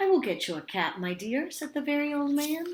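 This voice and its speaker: A woman puts on a character voice at a high pitch. She talks at a fairly quick pace. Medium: read story.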